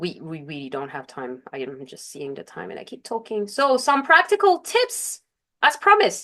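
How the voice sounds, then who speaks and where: The pace of this woman's speech is moderate. She has a non-native accent. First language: not English. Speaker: life coach. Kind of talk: webinar presentation. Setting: online webinar. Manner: occasional self-corrections and fillers.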